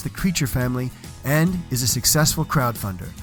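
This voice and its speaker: Music plays in the background. A man talks at a fairly quick pace, with ordinary pitch variation. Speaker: podcast host. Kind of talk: podcast intro narration.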